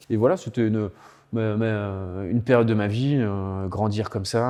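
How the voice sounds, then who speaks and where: A man's fairly low-pitched voice with a dark, mellow tone and fairly even intonation. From Loire Valley, France. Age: 30s. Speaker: winemaker. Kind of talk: interview. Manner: halting, many hesitations and repetitions.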